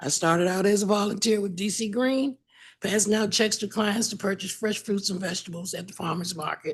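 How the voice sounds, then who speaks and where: Against a quiet background, a woman speaks at a fairly quick pace. Her medium-pitched voice is somewhat breathy. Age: 70s. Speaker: public witness, food program volunteer. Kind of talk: testimony.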